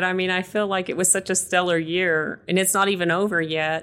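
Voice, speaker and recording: On a very clean recording with a silent background, a woman of medium pitch speaks with a West Texas accent. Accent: West Texas American. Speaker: realtor. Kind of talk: casual interview chat.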